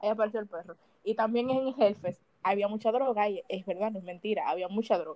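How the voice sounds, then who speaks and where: A woman speaks in a plain, everyday voice. It sits fairly high, with ordinary pitch variation. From Dominican Republic. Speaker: podcast co-host. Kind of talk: casual chat.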